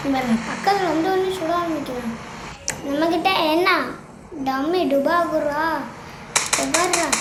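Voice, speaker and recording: An energetic woman's voice at an extremely high pitch, amid noticeable background noise. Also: ordinary pitch variation. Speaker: gameplay commentator and voice-over artist. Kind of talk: comic gameplay voice-over. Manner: energetic, comic.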